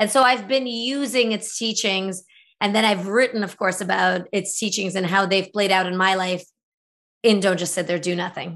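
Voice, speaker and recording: A woman's unremarkable speaking voice at a medium pitch, moderate in pace, with fairly even intonation. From former Soviet Union, raised in the US from age eight. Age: 40s. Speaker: author. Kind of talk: interview.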